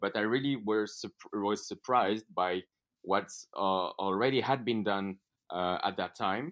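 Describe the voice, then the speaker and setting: In a French accent, a man speaks fairly slowly at a fairly low pitch. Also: ordinary pitch variation. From France. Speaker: entrepreneur, event co-founder. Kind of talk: interview. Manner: halting, many fillers.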